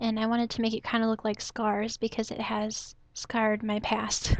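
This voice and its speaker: The speaker is soft-spoken and keeps a moderate pace. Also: woman. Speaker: photography hobbyist / vlogger. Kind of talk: casual talk to camera.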